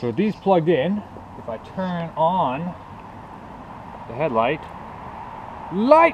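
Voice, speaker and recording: Over noticeable background noise, a man with a high pitch speaks at a very slow pace, his intonation lively, his loudness swinging widely, and his pauses long and frequent. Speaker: motorcycle builder, DIY mechanic. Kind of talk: casual workshop talk to camera.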